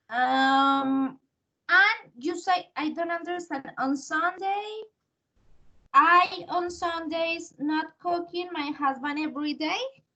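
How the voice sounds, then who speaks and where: A woman's raised, projected voice at an extremely high pitch, bright and sharp in tone, with ordinary pitch variation, a very slow pace and a Spanish accent. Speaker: English teacher. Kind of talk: language lesson feedback.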